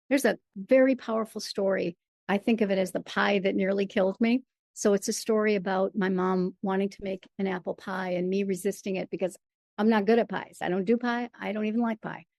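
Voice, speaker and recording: A woman with an American accent and a normal speaking voice talks at a fairly quick pace and a medium pitch, with fairly even intonation and a dry, close sound with no echo. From Michigan. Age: 60s. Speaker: playwright and performer. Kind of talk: interview.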